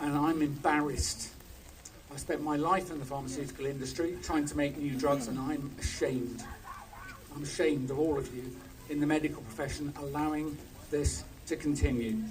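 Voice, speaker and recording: A man's fairly high voice in a flat monotone at a fairly quick pace, with long, frequent pauses, audible room echo and noticeable background noise. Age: 60s. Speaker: doctor, former pharmaceutical scientist. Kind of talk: protest speech. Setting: outdoor protest with crowd.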